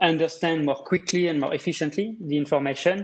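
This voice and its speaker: A man with a French accent, fairly high pitch and ordinary pitch variation, at a moderate pace. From France. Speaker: data visualization specialist. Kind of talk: presentation. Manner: hesitant, many fillers.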